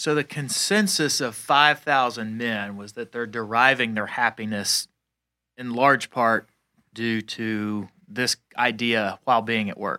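A man's bright, sharp tone with an American accent, at a fairly slow pace, in a very clean recording with a silent background and a dry, close sound with no echo. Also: medium pitch for a man, ordinary pitch variation. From Atlanta, US South. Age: 40s. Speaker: podcast co-host. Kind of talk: casual chat. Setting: studio. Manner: calm.

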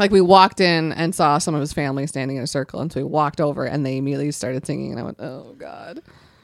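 A woman with an American accent talks at a very fast pace with hardly any pauses, her very deep, low pitch carrying vocal fry and big swings in loudness. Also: ordinary pitch variation. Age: 30s. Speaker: podcast co-host. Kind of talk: casual chat. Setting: studio.

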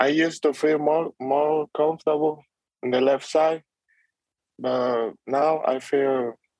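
A man with a Spanish accent speaks at a fairly slow pace and with fairly even intonation, the sound dry and close with no echo. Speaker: baseball prospect. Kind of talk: interview. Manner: halting.

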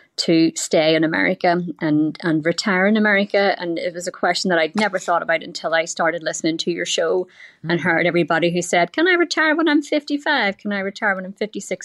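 A woman with an Irish accent speaks at a fairly quick pace and a medium pitch. Her intonation is lively, and the sound is dry and close with no echo. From Ireland. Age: 40s. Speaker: caller seeking financial advice.

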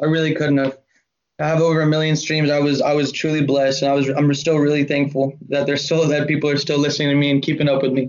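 A man with an American accent talks at a very fast pace, his fairly high voice monotone and flat and his loudness very even. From Georgia, US (Atlanta area). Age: 20s. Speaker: rapper. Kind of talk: casual chat.

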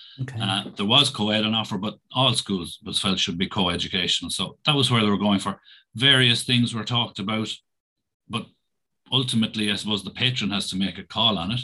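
A man with a Tipperary accent speaks at a fairly low pitch in a bright, sharp tone. The recording is very clean, with a silent background. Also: ordinary pitch variation, fairly quick pace. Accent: Irish (Tipperary). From Ireland, County Tipperary. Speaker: primary school principal. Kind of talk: interview.

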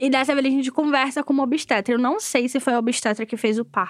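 This woman speaks in a high pitch with ordinary pitch variation. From Rio de Janeiro, Maré. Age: 20s. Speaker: student and community organizer. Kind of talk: interview testimony. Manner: casual, uses filler 'tipo'.

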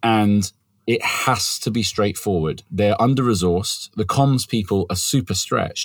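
A man with a plain, everyday voice, fairly low in pitch, at a fairly slow pace, with ordinary pitch variation and very even loudness. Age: 40s. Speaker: startup founder and CEO. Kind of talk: interview.

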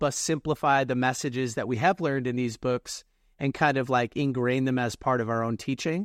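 He has a plain, everyday voice, fairly high in pitch for a man. The pace is moderate with ordinary pitch variation, over a quiet background. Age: 20s. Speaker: author and reading coach. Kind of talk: podcast interview.

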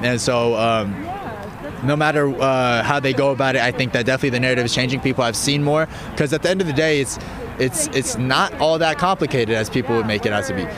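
Over noticeable background noise, a man speaks at a very fast pace with a medium pitch and ordinary pitch variation. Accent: American. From US, Colorado. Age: young. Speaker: youth activist organizer. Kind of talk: street interview. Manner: hesitant, many fillers.

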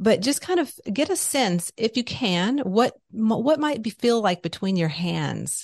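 The voice moves at a fairly slow pace with hardly any pauses and very wide pitch swings. Its sound is dry and close, with no echo. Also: woman, fairly high pitch for a woman. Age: 50s. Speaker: spiritual business owner and podcaster. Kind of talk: interview conversation; guided exercise.

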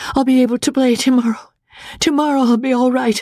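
Put-on character voice, strained and fairly high, at a fairly quick pace

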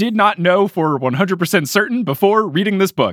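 A man's high-pitched voice with an American accent, very fast pace and lively intonation. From US Northeast, New Jersey. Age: 20s. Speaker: podcast host. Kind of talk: casual book discussion podcast.

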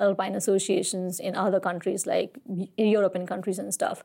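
A woman's dark, mellow tone stays monotone and flat in intonation. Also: very clean recording, silent background. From Nepal, Kathmandu. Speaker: mountaineer. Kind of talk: interview.

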